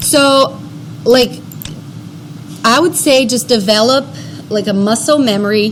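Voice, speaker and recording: A woman with a fairly high pitch talks at a fairly slow pace, pausing long and often. Her intonation is lively, and background noise is noticeable. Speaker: workshop instructor. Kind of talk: tutorial. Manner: casual, filler-heavy.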